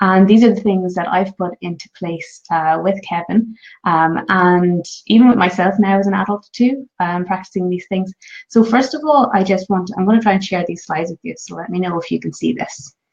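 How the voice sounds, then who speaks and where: Ordinary pitch variation marks this woman's somewhat breathy voice. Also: medium pitch for a woman, moderate pace. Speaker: parenting vlogger. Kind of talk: live stream talk. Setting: home, live stream. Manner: quiet voice; hesitant, many fillers.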